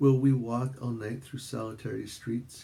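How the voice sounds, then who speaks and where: The speaker goes at a fairly slow pace. The voice is somewhat breathy, with a dark, mellow tone. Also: man. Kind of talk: poetry reading.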